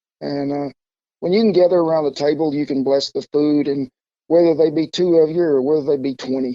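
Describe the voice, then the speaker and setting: Speaking at a fairly quick pace with an Oklahoma accent, a man keeps his fairly high voice in fairly even intonation. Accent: Oklahoma Southern. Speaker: cowboy cook. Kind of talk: interview answer.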